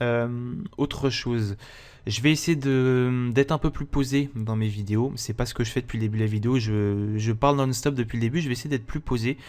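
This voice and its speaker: Medium pitch from a man, with fairly even intonation. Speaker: gaming youtuber. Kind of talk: gameplay commentary. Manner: fast, talks non-stop; hesitant, many fillers.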